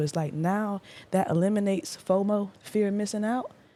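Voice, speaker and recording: An animated woman's voice amid noticeable background noise. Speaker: podcaster. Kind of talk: casual interview chat.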